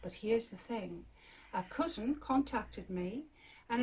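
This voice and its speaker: A woman talks with a Geordie accent at a fairly high pitch. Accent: posh Geordie, toned down Northumbrian. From northern England, Northumberland. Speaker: crofter and yarn maker. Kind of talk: casual chat, guided tour interview. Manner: hesitant, many fillers.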